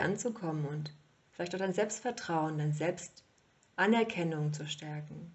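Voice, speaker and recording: At a fairly slow pace, a woman with an unremarkable speaking voice talks at a fairly low pitch with ordinary pitch variation. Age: 30s. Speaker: podcast host, yoga teacher. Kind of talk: solo monologue podcast.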